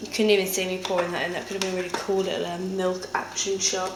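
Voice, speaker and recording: A woman with a British accent at medium pitch, with audible room echo and noticeable background noise. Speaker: lifestyle vlogger. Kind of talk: casual vlog.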